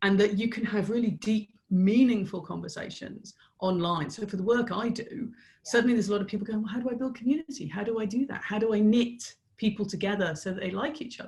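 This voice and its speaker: The voice is somewhat breathy, with an English accent. It moves at a very fast pace with ordinary pitch variation. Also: woman, fairly high pitch for a woman. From Ireland. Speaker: business strategist. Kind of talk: podcast interview answer.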